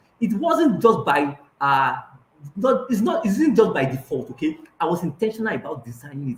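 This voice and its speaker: Talking with a Nigerian accent, a man keeps up a fairly quick pace. His pitch is high, with very wide swings. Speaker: life coach. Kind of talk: online coaching session. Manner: hesitant, many fillers.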